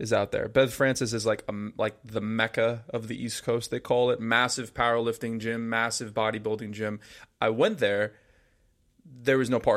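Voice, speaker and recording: A man's medium-pitched voice in an American accent, monotone and flat in intonation, in a very clean recording with a silent background. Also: moderate pace. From New Jersey (Paramus). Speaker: podcast co-host. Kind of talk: casual chat.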